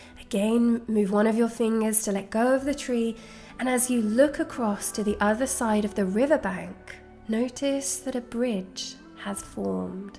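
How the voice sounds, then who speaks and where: Music plays in the background as a woman speaks at a fairly high pitch with fairly even intonation and a calm, soothing tone. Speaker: guided meditation guide. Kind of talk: guided meditation narration. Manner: slow, calm, soothing.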